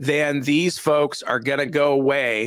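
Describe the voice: A man talks at a fairly high pitch with a fairly bright tone.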